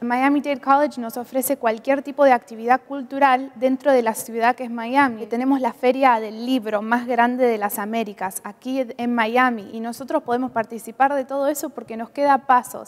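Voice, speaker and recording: A woman at a high pitch in a monotone, flat intonation, with a moderate pace and hardly any pauses. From Argentina. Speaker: international college student. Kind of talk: interview. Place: studio. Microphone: lapel.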